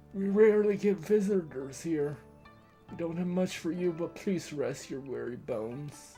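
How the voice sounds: Against clear background music, a man speaks at a moderate pace in a high-pitched, put-on character voice with ordinary pitch variation.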